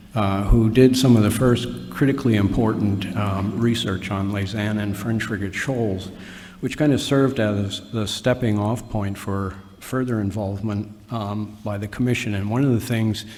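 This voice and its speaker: Audible room echo surrounds a man who talks at a moderate pace with a fairly low pitch and fairly even intonation. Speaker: commission official giving meeting overview. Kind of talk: formal meeting presentation. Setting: meeting hall with audience, microphone. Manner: halting, many fillers and restarts.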